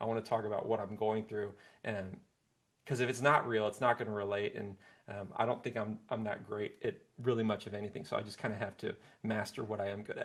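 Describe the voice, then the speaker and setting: A soft-spoken man at a very fast pace, fairly low in pitch, with monotone, flat intonation. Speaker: singer-songwriter. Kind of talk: interview.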